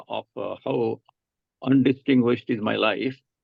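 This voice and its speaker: Vocal fry in a man's medium-pitched voice at a moderate pace. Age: 80s+. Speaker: retired economist. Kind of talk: personal life story talk. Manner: halting, many fillers.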